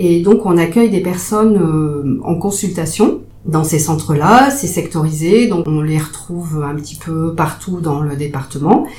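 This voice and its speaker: Noticeable background noise and audible room echo surround a woman speaking at a fairly low pitch. Her pace is fairly slow, and her pitch varies an ordinary amount. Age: 50s. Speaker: psychiatric nurse. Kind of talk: interview. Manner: hesitant, many fillers.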